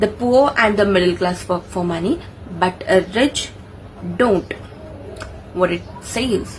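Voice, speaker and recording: A woman at medium pitch speaks at a fairly slow pace, with ordinary pitch variation. She leaves long, frequent pauses over noticeable background noise. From India, Maharashtra. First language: Marathi. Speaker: engineer and book review vlogger. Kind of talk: casual book summary vlog. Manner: halting, self-correcting.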